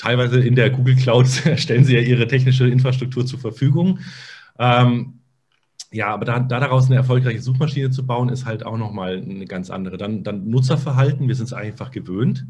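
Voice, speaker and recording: This man talks at a fairly quick pace in a medium, somewhat breathy voice with fairly even intonation, and the room echo is audible. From Munich, Bavaria. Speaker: SEO consultant. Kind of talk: casual interview. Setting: video podcast.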